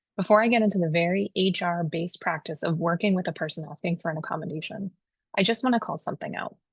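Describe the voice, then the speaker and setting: A woman with a somewhat breathy, fairly low voice talks at a very fast pace with ordinary pitch variation, the sound dry and close with no echo against a quiet background. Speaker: HR consultant. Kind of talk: tutorial.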